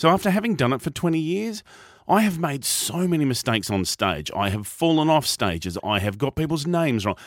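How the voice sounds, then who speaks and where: With an Australian accent, a man talks fairly quickly at a fairly high pitch, his pitch swinging very widely. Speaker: professional speaker and podcast host. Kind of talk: radio interview.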